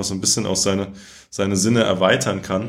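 Over audible room echo, a man with a fairly low pitch talks at a very fast pace in a monotone, flat intonation. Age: 20s. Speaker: politician. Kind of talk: interview.

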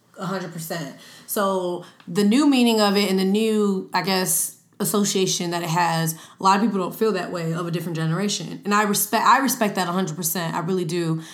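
A woman with an American accent speaks at a fairly quick pace in an animated tone, medium in pitch with ordinary pitch variation. Audible room echo carries her voice. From New York. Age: 20s. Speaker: social media influencer and podcast host. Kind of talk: casual chat.

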